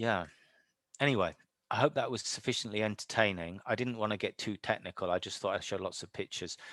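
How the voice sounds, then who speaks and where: Talking at a very fast pace, a man speaks with a British accent and ordinary pitch variation. The sound is dry with no echo, and the background is quiet. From United Kingdom. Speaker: professor. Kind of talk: lecture Q&A. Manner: animated. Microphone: video call.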